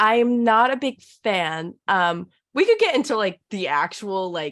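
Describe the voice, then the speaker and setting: In a Southern California accent, a woman speaks fairly slowly with a fairly high pitch and lively intonation on a very clean recording with a silent background. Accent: valley girl. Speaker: podcast guest. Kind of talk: casual chat. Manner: says like a lot.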